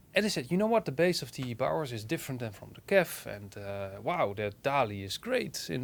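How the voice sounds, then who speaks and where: Speaking at a moderate pace, a man with a Dutch accent swings his pitch very widely. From Netherlands. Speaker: hi-fi reviewer and online publisher. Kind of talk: personal opinion monologue. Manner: halting.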